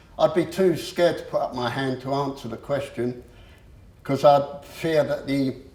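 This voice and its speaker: The speaker has an English accent and a moderate pace, with fairly even intonation. Noticeable background noise runs through the clip. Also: man. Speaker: motivational speaker. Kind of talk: public talk. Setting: room with audience. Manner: halting.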